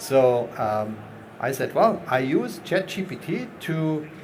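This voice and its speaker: A man speaks at a very slow pace with a fairly high pitch and very wide pitch swings. Audible room echo and noticeable background noise accompany him. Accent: non-native. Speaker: round table moderator. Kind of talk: panel discussion.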